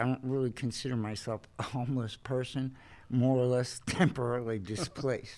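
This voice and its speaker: A man speaks at a moderate pace in a normal speaking voice, medium in pitch. His intonation is fairly even, and the recording is very clean with a silent background. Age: 60s. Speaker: formerly homeless retiree. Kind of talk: interview testimony.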